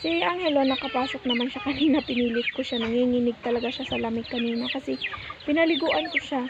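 A woman with a high-pitched voice and lively intonation talks at a very fast pace over noticeable background noise. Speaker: vlogger and street food vendor. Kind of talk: casual vlog talk. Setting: outdoors by the roadside.

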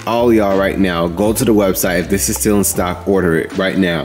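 Clear music plays in the background as a man speaks with a very deep, low pitch and ordinary pitch variation. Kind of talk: casual vlog chat. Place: factory. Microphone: phone near.

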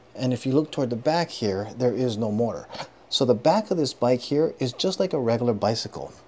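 A man talks at a very fast pace in a dark, mellow tone with ordinary pitch variation over light background noise. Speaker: product reviewer. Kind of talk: product review walkthrough. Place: garage. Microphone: phone near.

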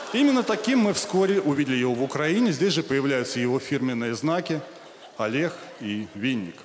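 A man at a moderate pace, very wide pitch swings, light background noise. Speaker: comedy show host. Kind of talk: comic monologue read on stage. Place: stage.

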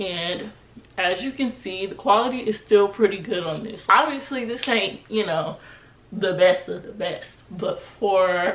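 A woman speaks at a fairly slow pace with ordinary pitch variation and big swings in loudness. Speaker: style vlogger. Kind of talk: casual vlog chat. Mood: relaxed, cheerful. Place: home room.

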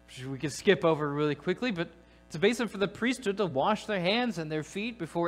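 Faint background music behind a man's speech. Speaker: preacher. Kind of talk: sermon. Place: church.

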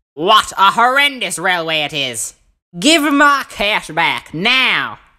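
Raising and projecting his voice, a man performs a put-on character voice at a high pitch with very wide pitch swings and a fairly slow pace. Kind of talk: voice acting reel. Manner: angry.

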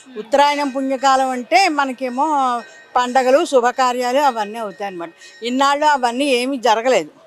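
A woman talks with a high pitch and ordinary pitch variation while music plays in the background. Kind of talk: interview answer.

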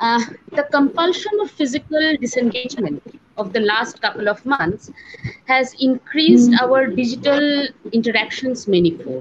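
At a moderate pace, a woman speaks in a high pitch, with noticeable background noise behind her. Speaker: teacher welcoming webinar audience. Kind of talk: formal welcome address. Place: home room. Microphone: earbuds.

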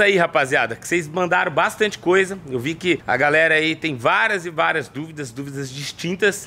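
A man with a bright, sharp tone, fairly high pitch, moderate pace and ordinary pitch variation. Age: 20s. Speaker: YouTuber. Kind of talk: casual vlog, answering fan questions. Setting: at home. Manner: animated.

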